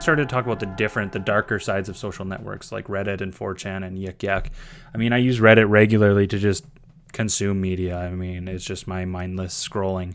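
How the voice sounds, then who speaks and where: The speaker has a Canadian prairie accent and a fairly even intonation. The pace is fairly quick. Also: man, fairly low pitch for a man. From Saskatchewan, Canada (small town). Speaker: teacher and graduate student. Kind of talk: scripted narration. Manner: casual, with fillers.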